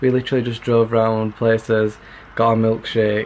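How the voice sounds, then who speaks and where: A man talks at a fairly quick pace. Light background noise sits behind him. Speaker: vlogger. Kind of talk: casual vlog chat. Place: home room. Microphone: webcam.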